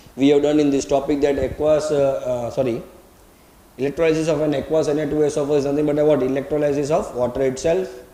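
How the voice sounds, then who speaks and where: A man speaks at a very fast pace with a fairly high pitch and monotone, flat intonation. Audible room echo and noticeable background noise fill the recording. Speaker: chemistry teacher. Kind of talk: lecture.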